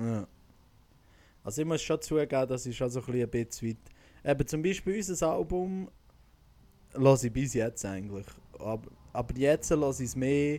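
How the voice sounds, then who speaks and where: In a Swiss accent, the voice has a dark, mellow tone and leaves long, frequent pauses. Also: man, medium pitch for a man, lively intonation, moderate pace. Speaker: podcast host and singer. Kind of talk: casual chat. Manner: animated.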